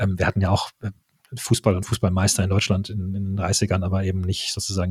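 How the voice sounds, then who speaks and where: A man speaks at a fairly quick pace with a very deep, low pitch and a somewhat breathy quality. The sound is dry and close with no echo, on a very clean recording with a silent background. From Germany. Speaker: football podcaster. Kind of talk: casual chat.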